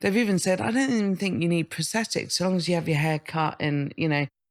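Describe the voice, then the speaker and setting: A woman's fairly low voice with lively intonation at a fairly quick pace, on a very clean recording with a silent background. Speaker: comedian and writer on social media. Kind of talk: casual chat interview. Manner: halting, repetitive.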